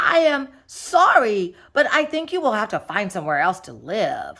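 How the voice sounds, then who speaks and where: A female-sounding voice, high in pitch, performs a put-on character. The pace is moderate. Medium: read story. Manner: earnest, polite.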